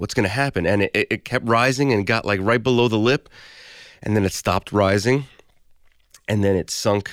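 On a very clean recording with a silent background, a man with a Brooklyn accent and a fairly low pitch talks at a moderate pace with ordinary pitch variation. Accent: New York (Brooklyn). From Brooklyn, New York City. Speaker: audio engineer. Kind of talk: personal storytelling. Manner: casual, conversational.

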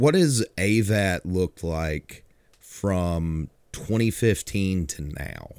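Speech in an American accent unfolds at a very slow pace. The recording is very clean and dry, close, with a silent background and no echo. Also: man. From Georgia, US South. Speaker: podcast host. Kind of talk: casual chat.

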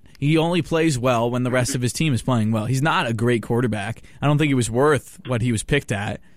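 In a very clean recording with a silent background, a man with a plain, everyday voice speaks at a fairly quick pace and medium pitch, with ordinary pitch variation, very even loudness and hardly any pauses. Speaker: college radio host. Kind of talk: sports talk radio. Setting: studio.

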